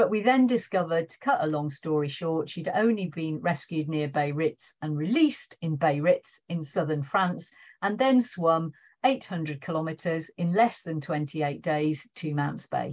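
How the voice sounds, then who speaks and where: A woman's ordinary speaking voice, fairly low in pitch, with lively intonation at a moderate pace against a quiet background. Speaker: seal researcher and session organiser. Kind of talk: online presentation. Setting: video call.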